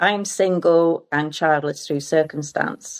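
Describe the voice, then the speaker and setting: Using an ordinary speaking voice, a woman speaks at a moderate pace with a fairly low pitch. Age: 60s. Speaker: arts centre volunteer. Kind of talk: casual chat.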